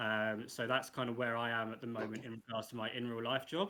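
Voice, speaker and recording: In an English accent, a man talks fairly quickly in a flat monotone. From England, Coventry. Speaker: NFT project co-founder. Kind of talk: casual online AMA.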